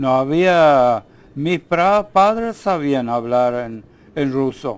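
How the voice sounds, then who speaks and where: Lively intonation carries speech delivered at a very slow pace. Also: man, fairly high pitch for a man. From Ukraine, German colonies. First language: German (speaking Spanish). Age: 80s+. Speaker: elderly immigrant interviewee. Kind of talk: TV interview. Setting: TV studio. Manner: halting.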